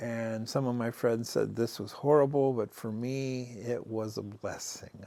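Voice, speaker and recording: This is a man speaking with an American accent. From US Midwest, Canton, Ohio. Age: 60s. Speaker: war veteran. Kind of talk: interview testimony. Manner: halting, many fillers.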